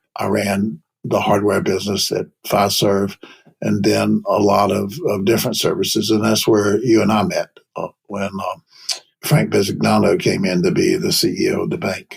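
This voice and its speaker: A man with a North Carolina accent, talking at a moderate pace. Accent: Southern US (North Carolina). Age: 70s. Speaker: payments executive, investment banker. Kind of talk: interview.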